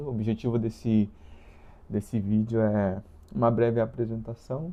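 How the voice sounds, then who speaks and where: A man speaks at a medium pitch. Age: 20s. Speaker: vlogger. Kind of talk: casual monologue. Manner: slow; halting.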